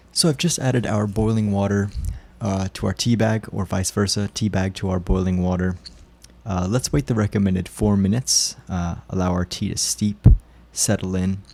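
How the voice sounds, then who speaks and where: A man with a fairly low pitch talks in a dark, mellow tone with fairly even intonation. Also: moderate pace. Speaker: tea reviewer. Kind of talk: casual product review. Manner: hesitant, many fillers.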